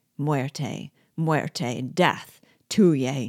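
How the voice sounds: Very slow and in a put-on character voice, the speech has a slightly mellow tone and ordinary pitch variation, in a very clean recording with a silent background and a dry, close sound with no echo. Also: woman, extremely low pitch for a woman.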